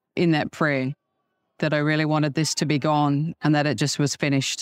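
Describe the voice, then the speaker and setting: A woman with an Australian accent speaks at a fairly quick pace in a very deep, low voice. The sound is dry and close with no echo, on a very clean recording with a silent background. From Adelaide, Australia. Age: 50s. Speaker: churchgoer sharing healing testimony. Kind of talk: testimony interview. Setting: convention venue.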